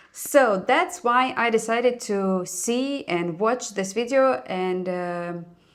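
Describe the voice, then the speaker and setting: A woman with a Russian accent speaks at a fairly high pitch with ordinary pitch variation. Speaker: YouTuber reacting to videos. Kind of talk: casual reaction commentary. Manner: hesitant, with fillers.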